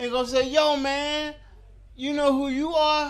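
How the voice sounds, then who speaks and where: A man with an extremely high pitch talks at a moderate pace, audible room echo around him. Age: 50s. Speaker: stand-up comedian. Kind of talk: stand-up. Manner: stammering repetitions.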